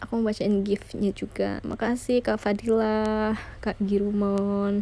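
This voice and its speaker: A very slow, monotone woman's voice at a medium pitch, dark and mellow in tone, with very even loudness. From West Java, Indonesia (Sundanese family). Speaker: idol group member live streaming. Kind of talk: casual live stream chat. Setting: home live stream, radio mode without camera. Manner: casual, chatty.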